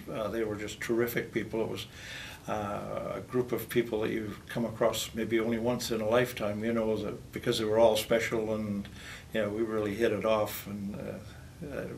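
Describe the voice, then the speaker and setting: Speaking with a Canadian accent, a man uses a fairly low pitch and a moderate pace. His intonation is monotone and flat, and audible room echo surrounds it. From northwestern Ontario, Canada. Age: 70s. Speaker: retired teacher. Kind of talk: interview. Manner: hesitant, many fillers.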